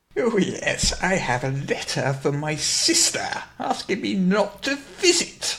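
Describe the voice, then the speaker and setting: Using a put-on character voice, a man talks at a fairly slow pace in a high pitch with very wide pitch swings. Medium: actual play. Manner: creepy, pedantic, implacable.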